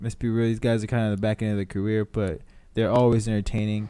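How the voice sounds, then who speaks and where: The man's voice has a dark, mellow tone. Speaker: MMA podcast co-host; former amateur fighter. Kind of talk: casual chat. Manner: stutters; slurring.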